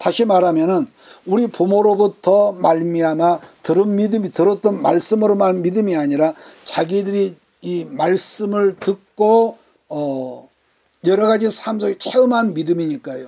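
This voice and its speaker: Slow-paced and dark and mellow in tone, a man speaks at a high pitch with ordinary pitch variation. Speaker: pastor. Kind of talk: bible study sermon.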